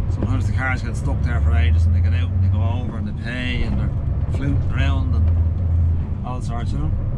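A man at a fairly quick pace over loud background noise. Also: ordinary pitch variation. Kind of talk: casual vlog chat. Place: car. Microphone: camera far.

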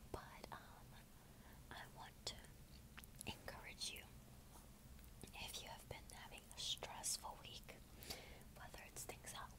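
Speech comes at a fairly slow pace over loud background noise. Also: woman. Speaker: ASMR creator. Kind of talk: casual talk to camera. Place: home room. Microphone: earbuds.

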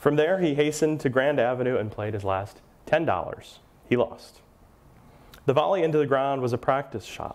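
A man's fairly high voice with an American accent, moderate in pace, with lively intonation. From Milwaukee, Wisconsin. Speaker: author and local historian. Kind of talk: lecture with read-aloud true-crime passages. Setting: lecture hall with live audience. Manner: conversational with filler words. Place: hall. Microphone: lapel.

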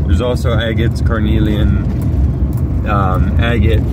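Loud background noise surrounds the speech. It moves at a fairly slow pace, with dry sound and no echo. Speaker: rockhounding vlogger. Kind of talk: casual vlog narration. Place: car. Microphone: phone near.

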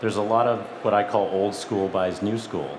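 Over noticeable background noise, a man with a fairly low voice speaks at a moderate pace. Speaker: M&A lawyer and panel moderator. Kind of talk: moderated panel discussion. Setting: stage with audience. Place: stage. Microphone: headset.

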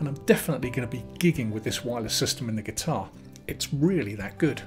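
A man races along at a very fast pace while clear music plays in the background. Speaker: guitar gear reviewer. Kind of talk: product review. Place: home room.

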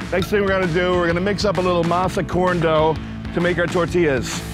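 Monotone, flat intonation at a fairly quick pace, dry sound with no echo, and clear music in the background. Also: man. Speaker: chef host. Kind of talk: tutorial. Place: beach. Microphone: lapel.

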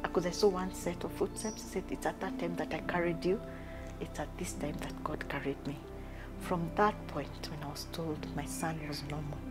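A woman speaks at a moderate pace over clear music in the background. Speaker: interview guest. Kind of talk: interview answer. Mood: emotional, reflective about loss. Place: home room.

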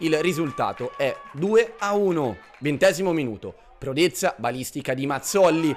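With music playing in the background, a man talks fairly slowly at a fairly high pitch with ordinary pitch variation. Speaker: match commentator. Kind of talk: sports commentary. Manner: vivid, flowery and partisan toward the home side.

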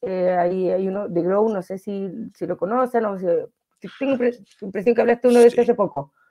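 A woman with a Chilean accent talks at a fairly quick pace with ordinary pitch variation against a quiet background. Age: 30s. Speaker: financial wellness coach. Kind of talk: interview. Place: home room. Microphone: video call.

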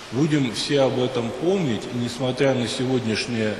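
Fairly slow speech from a man, with ordinary pitch variation, light background noise and audible room echo. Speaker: priest. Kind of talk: sermon. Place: church.

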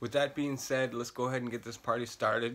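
The man talks in a monotone with flat intonation. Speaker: makeup vlogger. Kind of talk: casual vlog tutorial. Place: home room. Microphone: phone near.

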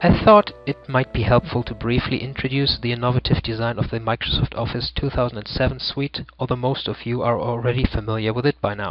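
A man with a German accent talks at a fairly quick pace with hardly any pauses. His intonation is fairly even, and music plays in the background. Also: medium pitch for a man. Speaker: ebook author. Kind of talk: tutorial. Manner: formal.

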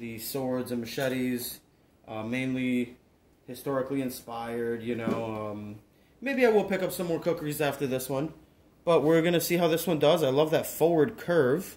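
Here a man speaks at a moderate pace with ordinary pitch variation. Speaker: collector reviewing a blade. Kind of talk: casual product review. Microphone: phone near.

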